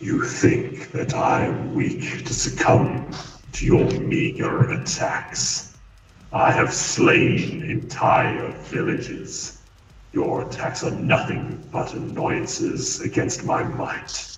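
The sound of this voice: In a raspy, put-on character voice, a man speaks very slowly amid strong echo.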